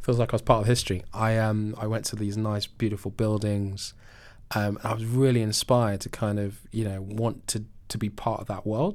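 A man with a London accent, fairly low-pitched and monotone with flat intonation, at a fairly quick pace on a very clean recording with a silent background. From South London, England. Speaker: venture capital investor. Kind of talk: interview.

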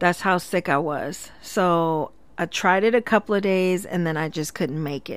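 A woman's fairly low-pitched, ordinary speaking voice, with ordinary pitch variation, at a moderate pace, in a very clean recording with a silent background. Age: 40s. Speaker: podcast host and cosmetology instructor. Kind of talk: casual solo monologue. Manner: conversational with frequent filler words.

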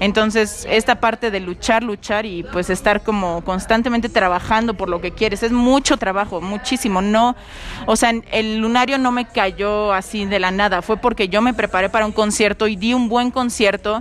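A woman talks at a moderate pace with hardly any pauses and fairly even intonation. There is noticeable background noise. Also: fairly high pitch for a woman. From Mexico. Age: young. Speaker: singer-songwriter. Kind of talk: interview. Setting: cafe.

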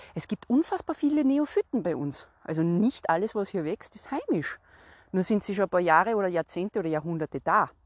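Speaking at a fairly quick pace in a Salzburg accent, a woman sweeps very widely around a medium pitch. The sound is dry and close with no echo, over a quiet background. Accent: Austrian German (Salzburg). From Austria, Salzburg. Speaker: podcast host, herbal walk guide. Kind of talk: solo podcast talk, educational.

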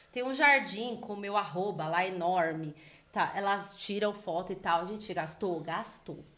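Room echo is audible as a woman speaks at a fairly slow pace. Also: medium pitch for a woman, ordinary pitch variation. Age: 30s. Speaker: entrepreneur. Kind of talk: interview.

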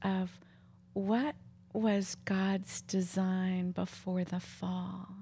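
Monotone, flat intonation in a woman's dark, mellow tone, somewhat breathy. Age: 60s. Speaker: podcast host and counselor. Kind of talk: casual interview chat. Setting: home living room.

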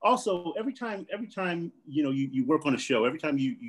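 A man with an American accent talks at a fairly quick pace, his fairly high pitch swinging very widely. The background is quiet. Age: 50s. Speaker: actor and stand-up comedian. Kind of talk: casual chat.

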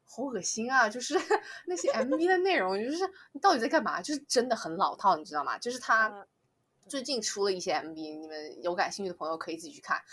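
Talking at a very fast pace, a woman uses a fairly high pitch with very wide pitch swings and big swings in loudness. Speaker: regular podcast guest. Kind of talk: casual chat.

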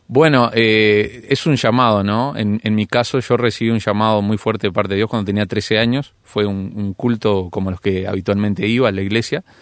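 A man with an ordinary speaking voice and a fairly low pitch talks at a moderate pace with hardly any pauses and fairly even intonation. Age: 30s. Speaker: pastor and youth leader. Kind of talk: radio interview.

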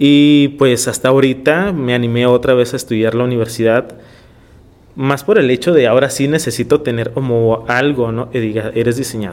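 A man talks in a plain, everyday voice at a medium pitch. He keeps a moderate pace and fairly even intonation. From Tijuana, Mexico (born in Ensenada). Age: 30s. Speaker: visual artist. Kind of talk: interview.

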